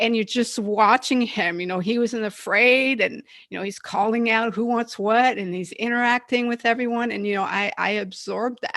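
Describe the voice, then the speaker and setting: At a moderate pace, a woman speaks with hardly any pauses. Her pitch is fairly high and her intonation fairly even. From Quebec, Canada. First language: French. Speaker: entrepreneur and Marine Corps veteran. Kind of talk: interview. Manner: halting, many restarts.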